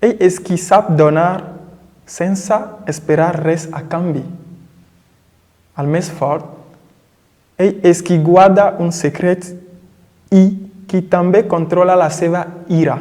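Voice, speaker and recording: Speaking at a very slow pace, a man with a high pitch keeps his intonation fairly even and leaves long, frequent pauses. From Togo. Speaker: poet and language teacher. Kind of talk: poetry reading. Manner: friendly.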